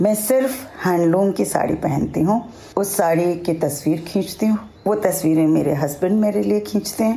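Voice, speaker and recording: A woman's voice with very wide pitch swings and very even loudness comes through over noticeable background noise. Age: 60s. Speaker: retired broadcaster and Instagrammer. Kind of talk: personal account.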